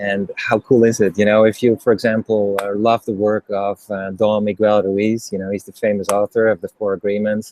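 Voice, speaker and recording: Recorded dry and close with no echo, a man with a Dutch accent speaks at a fairly low pitch and a fairly quick pace in a monotone, flat way. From Netherlands. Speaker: interviewer and former executive. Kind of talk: interview.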